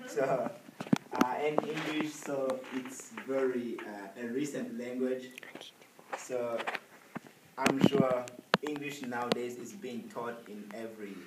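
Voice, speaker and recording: A man with a medium-pitched voice talks at a very slow pace, with long, frequent pauses, ordinary pitch variation and big swings in loudness, over noticeable background noise and audible room echo. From Rwanda, northern part. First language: Kinyarwanda, also French. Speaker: presenter on their home country. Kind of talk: informal presentation to an audience. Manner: halting, many fillers.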